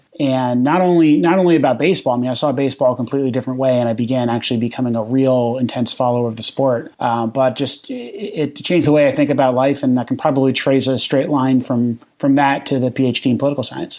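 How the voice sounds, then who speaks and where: Over noticeable background noise, a man with an American accent speaks very fast with hardly any pauses, his medium pitch held in fairly even intonation. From New Jersey. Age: 30s. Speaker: baseball podcaster and PhD student. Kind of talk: podcast interview. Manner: halting, many repeated words and fillers.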